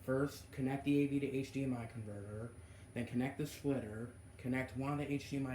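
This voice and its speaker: A man talks at a fairly quick pace. His medium-pitched voice is somewhat breathy. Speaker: gaming YouTuber. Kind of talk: tutorial. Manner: halting.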